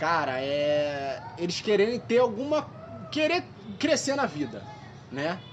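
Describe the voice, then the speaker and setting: Over noticeable background noise and audible room echo, a high-pitched man speaks very slowly with very wide pitch swings and long, frequent pauses. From Rio de Janeiro, West Zone. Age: 20s. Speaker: photographer and natural products seller. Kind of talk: casual chat.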